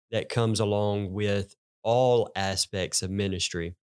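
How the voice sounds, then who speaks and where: Very slowly and with fairly even intonation, a man with a Southern US accent speaks in a fairly low pitch, the sound dry and close with no echo in a very clean recording with a silent background. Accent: Southern US country. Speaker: pastor. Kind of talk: casual chat.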